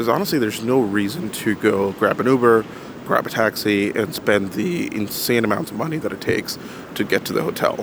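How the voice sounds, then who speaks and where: Noticeable noise sits in the background. Over it, the man's pitch varies in an ordinary way. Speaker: commercial pilot and landscape photographer vlogger. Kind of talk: travel vlog narration. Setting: hotel room; on a train. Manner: casual, hesitant with fillers.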